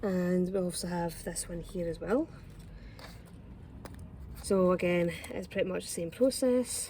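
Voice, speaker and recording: Speaking very slowly in a Scottish accent, a woman has a medium-pitched, somewhat breathy, dark and mellow tone with ordinary pitch variation. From Scotland. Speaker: home gardener. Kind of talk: casual gardening tutorial to camera.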